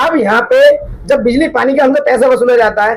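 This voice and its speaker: The man's voice sits at an extremely high pitch. Its rise and fall is ordinary. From Delhi, India. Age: 30s. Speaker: local youth politician. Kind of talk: street interview.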